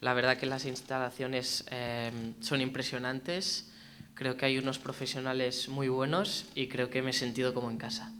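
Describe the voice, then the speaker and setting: A man at a medium pitch and a fairly quick pace, with fairly even intonation, audible room echo and noticeable background noise. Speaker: footballer. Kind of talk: press conference.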